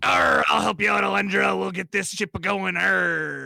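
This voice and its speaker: Shouting in a put-on character voice, a man speaks at a moderate pace with a fairly low pitch. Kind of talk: stage-pirate speech. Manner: playful, theatrical.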